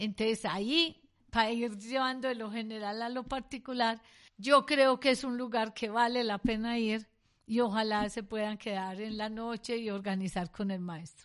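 A woman talks in an ordinary speaking voice at a moderate pace, her pitch fairly high and her intonation fairly even. The background is quiet. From Colombia. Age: 60s. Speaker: economist and university researcher. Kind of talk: educational interview.

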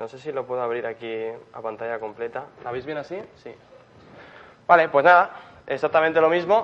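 A man talks at a fairly quick pace and fairly high pitch. His intonation is lively, with big swings in loudness. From Spain, Murcia. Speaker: software engineer. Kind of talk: conference talk. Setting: stage with audience. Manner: hesitant, many fillers.

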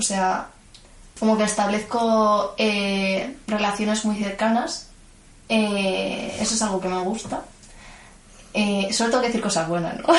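In a room with audible echo, a woman speaks at a fairly slow pace in a somewhat breathy voice, leaving long, frequent pauses. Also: fairly high pitch for a woman, fairly even intonation. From Madrid, Spain (Vallecas). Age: 20s. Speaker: student and gymnastics coach. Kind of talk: interview.

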